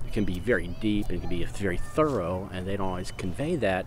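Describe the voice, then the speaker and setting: Audible room echo surrounds a man talking at a moderate pace with lively intonation. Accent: American. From Houston, Texas. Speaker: poet. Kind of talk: casual monologue. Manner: halting.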